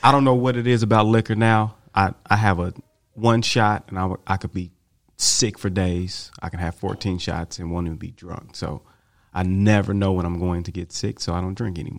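In an American accent, this man's very deep, low voice moves at a moderate pace with ordinary pitch variation. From Tulsa, Oklahoma. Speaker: track coach. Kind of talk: casual chat.

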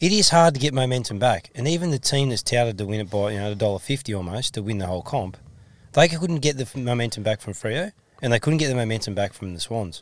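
On a very clean recording with a silent background, a man talks with an Australian accent. His pace is very fast and his intonation lively. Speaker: football coach and podcast co-host. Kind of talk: casual chat.

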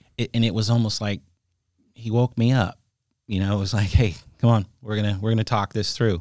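With an American accent, a man speaks at a fairly quick pace and fairly low pitch, using fairly even intonation and long, frequent pauses, in a dry, close sound with no echo. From California, San Jose. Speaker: car wash owner. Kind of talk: interview.

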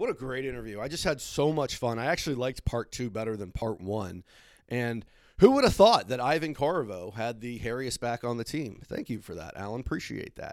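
In a normal speaking voice, a man talks at a fairly quick pace with medium pitch, ordinary pitch variation and big swings in loudness, captured on a very clean recording with a silent background. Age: 30s. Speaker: hockey history podcast host. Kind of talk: podcast interview and monologue.

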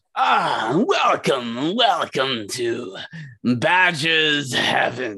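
A man speaks in a put-on character voice at a medium pitch. His pace is very slow. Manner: welcoming, slimy.

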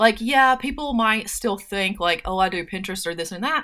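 Heard in a very clean recording with a silent background, a woman with a fairly high, bright, sharp voice speaks with lively intonation. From US South, North Carolina. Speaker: entrepreneur and personality coach. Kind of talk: casual interview chat.

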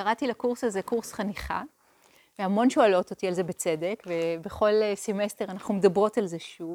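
A woman with a normal speaking voice talks at a moderate pace and medium pitch, with ordinary pitch variation. The sound is dry and close, with no echo. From Israel, Hadera. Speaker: meditation teacher. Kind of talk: lecture.

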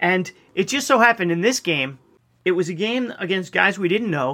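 In a very clean recording with a silent background, a man with an American accent uses a raised, projected voice, high pitch, lively intonation and a bright, sharp tone. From Long Island, New York (Nassau County). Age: 50s. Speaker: podcast guest, host's college friend. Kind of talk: casual chat.

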